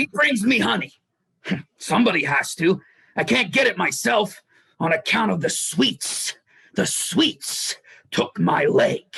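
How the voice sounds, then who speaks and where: This put-on character voice is raspy, with a middle pitch. Its delivery is fairly slow, broken by long, frequent pauses. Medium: stage play.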